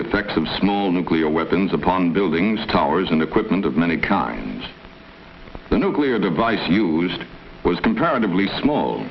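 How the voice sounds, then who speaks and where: A man with a very deep, low pitch amid noticeable background noise. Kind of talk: documentary narration.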